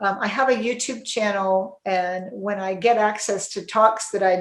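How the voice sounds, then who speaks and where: A woman's voice at a medium pitch. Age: 60s. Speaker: psychiatrist. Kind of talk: interview. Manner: halting.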